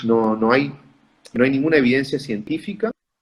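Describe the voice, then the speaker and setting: A man with a northeastern Argentine accent, fairly high in pitch, at a moderate pace. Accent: Argentine Spanish (northeast). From Corrientes, Argentina. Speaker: pulmonologist. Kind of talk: interview answer. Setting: online video call.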